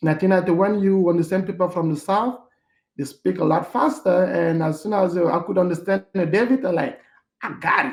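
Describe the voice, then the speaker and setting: A man with a non-native accent. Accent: foreign. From Cameroon, Yaoundé. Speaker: hotel manager. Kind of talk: interview. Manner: halting, many fillers.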